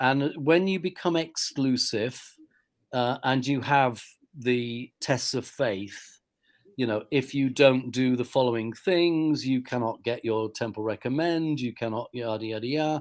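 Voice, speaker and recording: This man speaks with a British accent at a medium pitch and a fairly slow pace. His pitch varies in an ordinary way, and the recording is very clean with a silent background. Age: 60s. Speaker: church leader. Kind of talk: casual chat.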